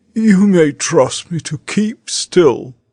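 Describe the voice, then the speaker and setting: In a put-on character voice, a man speaks at a high pitch with lively intonation, and the sound is dry and close with no echo. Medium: audio drama.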